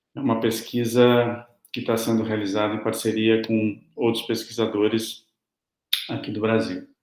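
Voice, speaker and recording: Flat and monotone in intonation, a man talks fairly slowly at a medium pitch. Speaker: academic researcher presenting a paper. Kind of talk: conference presentation. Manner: slow, deliberate; hesitant, many fillers.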